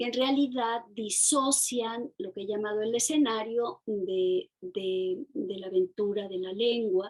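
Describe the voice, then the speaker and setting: A woman with a fairly high pitch talks at a very slow pace, her intonation lively. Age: 60s. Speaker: novelist and poet. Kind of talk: interview. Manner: halting, many fillers and repetitions.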